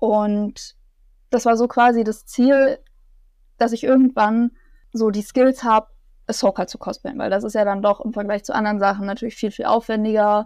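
Against a quiet background, a woman with a plain, everyday voice speaks at a fairly high pitch with fairly even intonation, the sound dry and close with no echo. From Bavaria, near Munich. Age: 20s. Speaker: cosplayer and student. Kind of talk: interview, casual chat.

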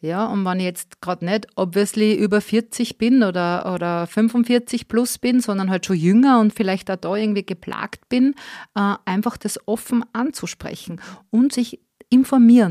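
Here is a woman with an ordinary speaking voice, fairly high in pitch, with ordinary pitch variation. She talks at a fairly slow pace, and the sound is dry and close with no echo. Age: 40s. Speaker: podcaster. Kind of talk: interview.

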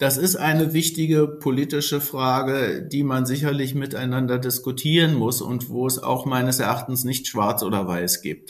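A normal speaking voice flows with hardly any pauses and ordinary pitch variation. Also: man, medium pitch for a man, moderate pace. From Berlin (Spandau). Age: 50s. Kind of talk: interview.

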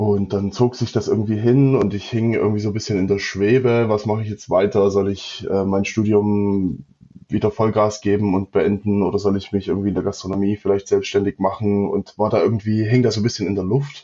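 A man talks at a fairly quick pace with hardly any pauses. His fairly low pitch stays monotone, with flat intonation. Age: 30s. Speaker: managing partner of an electronics manufacturer. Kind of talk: interview. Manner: hesitant, many fillers and repetitions.

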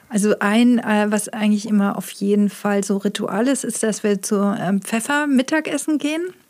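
A woman with a fairly high voice speaks at a moderate pace with ordinary pitch variation and hardly any pauses, over noticeable background noise. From Heilbronn, Baden-Württemberg, Germany. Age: 50s. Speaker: illustrator and author. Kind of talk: casual interview.

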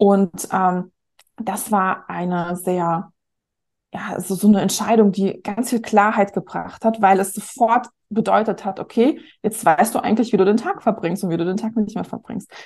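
Medium-pitched female speech at a moderate pace, with fairly even intonation over a quiet background. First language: not German, learned German at eight (speaking German). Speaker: marketing coach and author. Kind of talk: casual interview.

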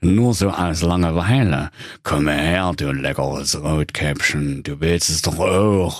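A man puts on a character voice with a very deep, low pitch and a fairly slow pace. The recording is very clean, the background silent. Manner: whiny, self-pitying.

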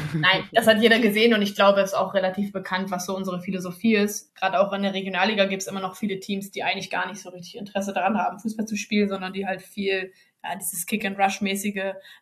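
A woman of medium pitch talks at a very fast pace. Her intonation is monotone and flat, while her loudness swings widely. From northern Germany, Bremen. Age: 20s. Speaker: women's football player. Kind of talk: podcast interview. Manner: hesitant with many fillers.

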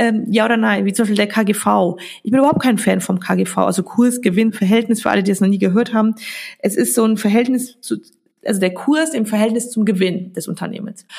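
Vocal fry at a fairly quick pace, with ordinary pitch variation. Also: woman, fairly high pitch for a woman. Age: 30s. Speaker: biochemist and stock investing educator. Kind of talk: podcast interview.

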